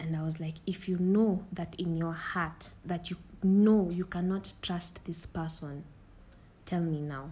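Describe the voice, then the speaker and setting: A woman speaks in a fairly low, somewhat breathy voice. Her pace is fairly slow and her intonation fairly even. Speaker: podcast host. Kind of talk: casual chat.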